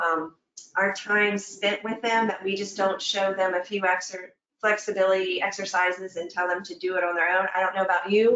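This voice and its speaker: Speaking at a fairly quick pace, a woman keeps her intonation monotone and flat. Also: medium pitch for a woman. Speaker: fitness instructor. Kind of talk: webinar presentation. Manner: conversational, with fillers and self-corrections.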